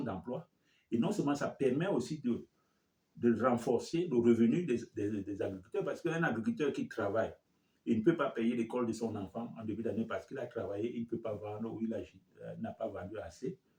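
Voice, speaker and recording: At a fairly quick pace, a man speaks with a dark, mellow tone, medium pitch, ordinary pitch variation and a somewhat breathy quality. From Cameroon. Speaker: community leader, finance expert. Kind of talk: interview. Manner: halting.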